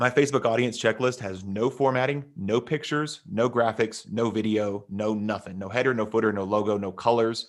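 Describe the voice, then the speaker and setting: A man with an American accent talks at a fairly quick pace in an energetic tone, with hardly any pauses and ordinary pitch variation. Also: medium pitch for a man. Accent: Texas accent, comes out on some words. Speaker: online marketing coach. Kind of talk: interview on a live stream, teaching. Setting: live stream video call. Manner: fast, energetic, with fillers.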